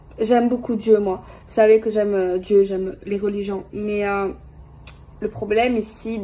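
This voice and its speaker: The voice belongs to a woman with a medium pitch. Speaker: tarot card reader. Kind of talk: tarot reading video. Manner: hesitant, many fillers; soft-spoken.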